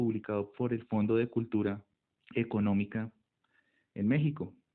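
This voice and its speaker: A man speaks at medium pitch and a fairly slow pace. His intonation is fairly even. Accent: Colombian. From Colombia. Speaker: ethnomycology researcher. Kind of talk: monologue talk.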